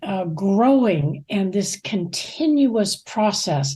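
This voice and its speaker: Speaking at a very slow pace, a woman uses a dark, mellow tone that is somewhat breathy, with very wide pitch swings. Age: 80s+. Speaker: ministry leader. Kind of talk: casual chat.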